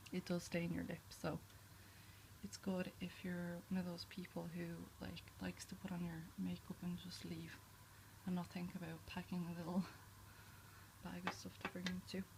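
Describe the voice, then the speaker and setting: A soft-spoken woman talks with long, frequent pauses. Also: moderate pace. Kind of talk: ASMR makeup show and tell.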